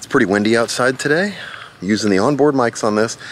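Against light background noise, a man speaks with lively intonation in a dry sound with no echo. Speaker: camera reviewer. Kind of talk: casual vlog chat. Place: garden. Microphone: phone near.

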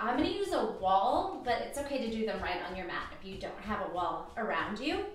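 Audible room echo and light background noise accompany a woman talking at a moderate pace. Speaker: fitness instructor. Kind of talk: workout class instruction. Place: home room. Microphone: camera far.

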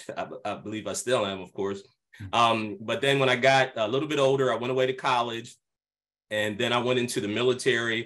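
In an American accent, a man with a medium pitch and an ordinary speaking voice talks at a fairly quick pace. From Pennsylvania, US. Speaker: pastor. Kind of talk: video call interview. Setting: video call.

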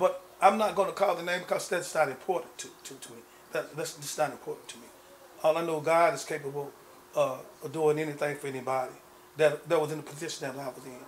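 Speaking at a very fast pace, a man with a fairly high pitch shows big swings in loudness over light background noise. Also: fairly even intonation. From Texas, McKinney; Texas. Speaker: former gang founder turned minister; interviewee. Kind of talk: interview. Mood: reflective, earnest. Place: home room.

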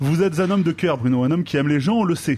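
Over a quiet background, a man talks at a very fast pace. His intonation is lively. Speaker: radio columnist. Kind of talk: comedic column. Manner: sarcastic. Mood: ironic, playful persuasion. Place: studio.

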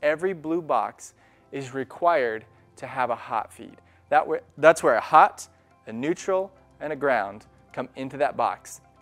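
A man talks at a fairly slow pace. Faint music plays behind him. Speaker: electrician instructor. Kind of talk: tutorial.

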